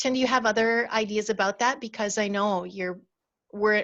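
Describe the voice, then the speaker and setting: In a quiet background, a woman speaks at a medium pitch with vocal fry and fairly even intonation. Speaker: storytelling coach. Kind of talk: webinar talk. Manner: calm and slow.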